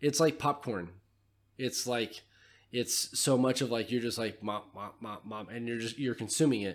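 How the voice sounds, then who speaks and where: In a plain, everyday voice with ordinary pitch variation, the speaker keeps a moderate pace on a very clean recording with a silent background. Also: man, medium pitch for a man. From California. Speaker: podcast host. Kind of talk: casual chat.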